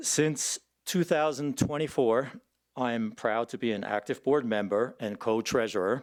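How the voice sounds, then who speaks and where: An unremarkable speaking voice from a man, medium-pitched, at a moderate pace with ordinary pitch variation, on a very clean recording against a silent background. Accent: American. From New Jersey, US. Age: 60s. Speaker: election candidate, fire board member. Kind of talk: candidate forum introduction.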